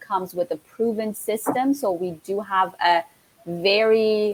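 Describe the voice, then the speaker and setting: Here a woman speaks with an Iranian accent. Her pace is fairly slow. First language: Farsi. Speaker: network marketing entrepreneur. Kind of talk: casual live-stream interview. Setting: live stream.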